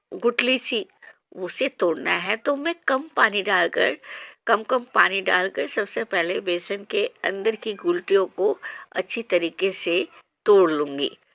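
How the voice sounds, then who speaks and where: The recording is very clean, with a silent background and a dry, close sound with no echo. A woman with a normal speaking voice talks at a medium pitch with lively intonation. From Odisha, India. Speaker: cooking channel host. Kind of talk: cooking tutorial. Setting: home kitchen on a veranda.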